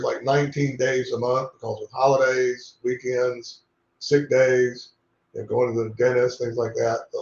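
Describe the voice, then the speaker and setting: A man's medium-pitched, somewhat breathy voice with an American accent, at a moderate pace, in a flat monotone. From North Carolina. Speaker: company president. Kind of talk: interview conversation.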